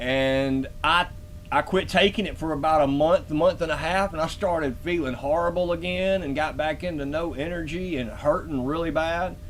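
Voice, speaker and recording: Over noticeable background noise, a man with a Southern US accent talks at a moderate pace, his pitch fairly high and his intonation fairly even. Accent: southern twang. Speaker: live-stream host. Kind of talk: live stream commentary, reading a paper. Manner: casual, halting.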